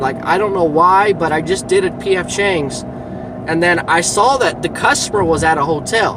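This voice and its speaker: A high-pitched male voice at a moderate pace with ordinary pitch variation, amid audible room echo and noticeable background noise. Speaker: delivery driver vlogger. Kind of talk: casual vlog monologue. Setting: in a car. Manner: loud.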